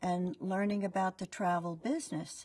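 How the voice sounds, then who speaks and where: A somewhat breathy woman at a fairly slow pace against a quiet background. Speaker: franchise owner. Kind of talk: testimonial. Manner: conversational, fillers. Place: studio. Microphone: lapel.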